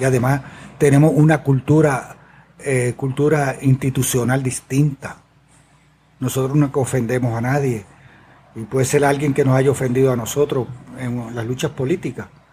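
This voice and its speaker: Somewhat breathy and dark, mellow in tone, a man speaks at a moderate pace in a medium pitch with monotone, flat intonation. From Puerto Rico, Adjuntas. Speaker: environmental activist, community organization founder. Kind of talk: interview. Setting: in person at the guest's organization.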